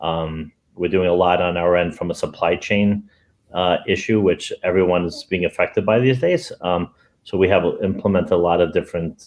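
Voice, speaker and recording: Talking at a moderate pace, a man has a very deep, low pitch. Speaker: temporary housing executive. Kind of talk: panel discussion. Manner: animated.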